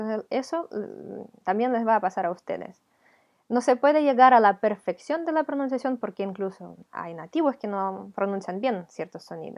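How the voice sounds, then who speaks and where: Lively intonation at a moderate pace. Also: woman, fairly high pitch for a woman, big swings in loudness. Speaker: language teacher. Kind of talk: tutorial.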